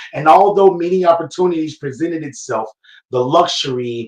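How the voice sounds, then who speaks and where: In an unremarkable speaking voice, a man talks with a fairly high pitch and ordinary pitch variation. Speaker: spoken word poet. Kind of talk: spoken word poetry reading. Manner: heartfelt, reflective.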